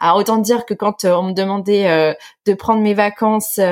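A woman with an unremarkable speaking voice, fairly even intonation and a moderate pace. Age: 30s. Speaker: online business founder. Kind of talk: interview testimony.

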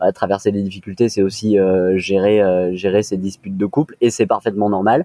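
At a moderate pace, a man talks in an ordinary speaking voice with fairly low pitch and fairly even intonation. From France, Nice. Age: 20s. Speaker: co-founder of a premarital preparation service. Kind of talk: interview.

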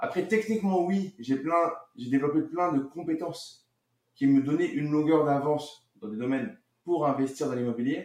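This man's pitch is fairly high, with ordinary variation. He talks at a moderate pace. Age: 40s. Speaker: real estate investor and marketer. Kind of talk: casual interview. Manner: halting, many fillers.

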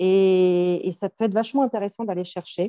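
Speaking at a fairly low pitch, a woman shows ordinary pitch variation. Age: 40s. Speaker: psychologist and coach. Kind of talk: casual interview.

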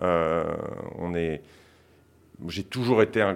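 This very clean recording has a silent background. A man with a very deep, low pitch and ordinary pitch variation speaks at a fairly slow pace. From France, childhood in Senegal. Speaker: investment fund co-founder. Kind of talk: interview. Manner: hesitant.

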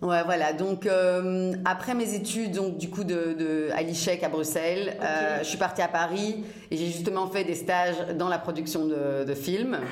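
A woman speaks at a fairly slow pace with hardly any pauses. The room echo is audible, and background noise is noticeable. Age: 30s. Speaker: fashion entrepreneur. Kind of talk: interview. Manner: animated.

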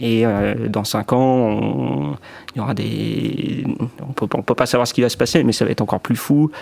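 There is noticeable background noise throughout. Over it, a man speaks rather slowly. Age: 20s. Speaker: key account manager. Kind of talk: testimony. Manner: hesitant, many fillers and repetitions.

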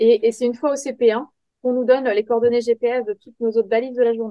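Fairly quick and with fairly even intonation, this is an unremarkable speaking voice. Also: woman. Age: 30s. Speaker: software tester and rally navigator. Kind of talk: interview.

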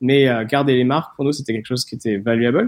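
This is a man with an unremarkable speaking voice, medium in pitch, with fairly even intonation. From southern France, near Nice. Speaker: startup founder and investor. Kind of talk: interview.

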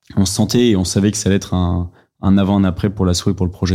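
On a very clean recording with a silent background, a man speaks with a very deep, low pitch, a dark, mellow tone and monotone, flat intonation. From France. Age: 20s. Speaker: association president. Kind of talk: interview.

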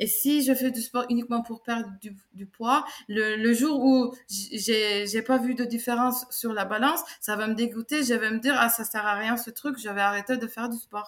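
A woman with a Turkish accent, fairly high-pitched, at a moderate pace with hardly any pauses and fairly even intonation. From Turkey, Istanbul. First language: Turkish (speaking French). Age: 30s. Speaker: sports coach. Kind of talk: testimony and advice interview.

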